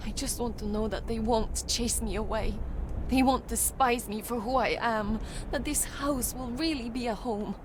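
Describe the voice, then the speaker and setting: Over loud background noise, a woman uses a shaky, put-on character voice, fairly high in pitch, at a moderate pace. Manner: vulnerable, emotional.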